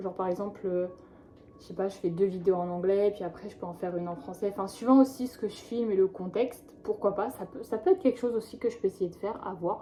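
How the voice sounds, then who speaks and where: Noticeable background noise runs under this recording. A woman speaks with fairly even intonation. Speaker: vlogger. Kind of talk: vlog monologue. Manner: slow; hesitant, many fillers.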